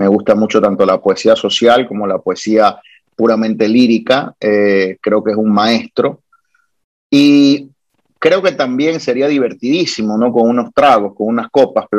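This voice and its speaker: Using a normal speaking voice, a man at medium pitch talks at a fairly slow pace with ordinary pitch variation. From born in Guayaquil, Ecuador; Puerto Rico is his homeland. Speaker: lawyer and wine blogger. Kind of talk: casual interview.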